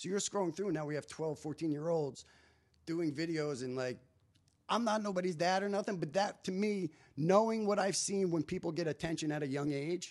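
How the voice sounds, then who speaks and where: In a New Jersey accent, a man speaks at a high pitch with ordinary pitch variation. His pace is fairly quick. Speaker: stand-up comedian. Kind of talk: casual chat.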